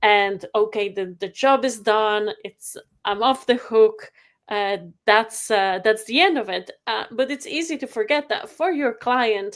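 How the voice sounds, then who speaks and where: Speaking with a Polish accent, a woman uses a fairly high pitch with ordinary pitch variation. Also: fairly slow pace. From Poland. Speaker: photography software company rep and photographer. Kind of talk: webinar presentation. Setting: video call webinar. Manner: halting, many fillers.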